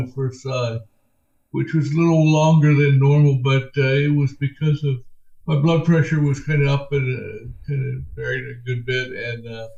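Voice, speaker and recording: A man talks at a moderate pace with a fairly high pitch and flat, monotone intonation. His tone is dark, mellow and somewhat breathy. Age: 60s. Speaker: person with Parkinson's disease. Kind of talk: interview answer. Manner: hesitant, halting.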